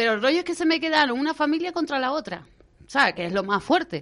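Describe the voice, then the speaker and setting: A woman speaks with very wide swings in pitch. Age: 40s. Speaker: wedding planner and business owner. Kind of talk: radio interview, casual chat.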